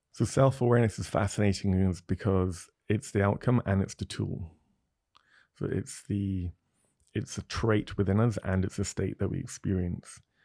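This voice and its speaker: This is a plain, everyday voice at a moderate pace with fairly even intonation, recorded very cleanly over a silent background with a dry, close sound and no echo. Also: man, fairly low pitch for a man. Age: 30s. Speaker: psychologist. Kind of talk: casual interview. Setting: studio. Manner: reflective.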